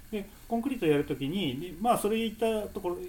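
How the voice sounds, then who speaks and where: Fairly quick speech from a man, noticeable noise in the background. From Japan, Nagoya. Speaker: stairs and slopes enthusiast. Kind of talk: casual chat.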